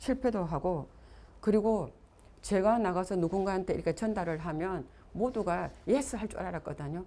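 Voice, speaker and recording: A woman's dark, mellow tone at a fairly quick pace. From Gyeongsang region, South Korea. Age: 60s. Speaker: network marketing business leader. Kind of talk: motivational seminar talk.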